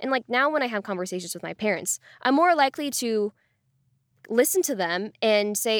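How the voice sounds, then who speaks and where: A plain, everyday voice with lively intonation at a moderate pace. The sound is dry and close with no echo, on a very clean recording against a silent background. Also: woman. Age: 20s. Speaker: podcast host interviewed about workplace sexism. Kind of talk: interview.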